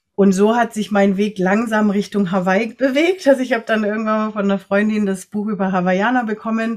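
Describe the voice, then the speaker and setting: Speaking at a fairly quick pace with hardly any pauses, a woman has a fairly high pitch, fairly even intonation and an unremarkable speaking voice. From Latin America (Ecuador, Nicaragua, Costa Rica) and Germany. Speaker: energy worker and coach for empaths. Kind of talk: interview conversation.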